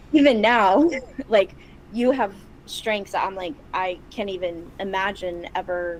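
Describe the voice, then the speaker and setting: A woman with an American accent speaks at a moderate pace over noticeable background noise. Her pitch is medium, with ordinary pitch variation. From Chicago, US. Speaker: podcast co-host, practicing witch. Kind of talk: casual chat.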